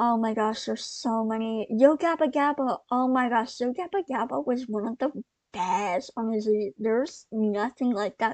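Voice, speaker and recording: A woman's fairly high voice at a fairly slow pace, with ordinary pitch variation, a quiet background and a dry, close sound free of echo. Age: 20s. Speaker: podcaster. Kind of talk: casual monologue. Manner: halting, many pauses and fillers.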